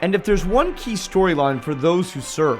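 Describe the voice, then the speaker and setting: Music plays in the background as a man talks at a moderate pace. His voice is high-pitched with lively intonation. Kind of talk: corporate documentary narration.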